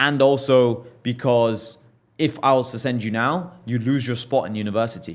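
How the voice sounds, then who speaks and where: A man with an English accent speaks at a moderate pace and medium pitch with ordinary pitch variation on a very clean recording with a silent background. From England. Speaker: entrepreneur. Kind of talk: podcast interview. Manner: animated.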